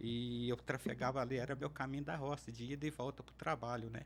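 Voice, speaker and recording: This man talks at a fairly quick pace with vocal fry. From Minas Gerais, Alto Paranaíba region. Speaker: interview guest, public servant. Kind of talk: podcast interview. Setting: studio.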